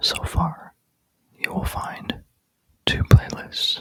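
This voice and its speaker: A man is whispering. The sound is dry and close, with no echo. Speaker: Bible reader. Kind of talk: casual talk to camera. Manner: whispered.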